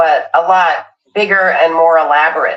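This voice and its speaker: Here a woman has an ordinary speaking voice, pitched fairly low with ordinary pitch variation. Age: 60s. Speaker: live streamer. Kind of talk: product demonstration. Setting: live stream.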